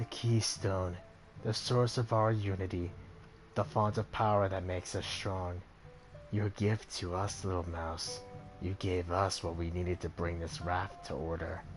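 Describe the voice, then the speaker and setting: A man's put-on character voice, rumbling and very deep in pitch, at a moderate pace over clear background music. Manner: grand, menacing.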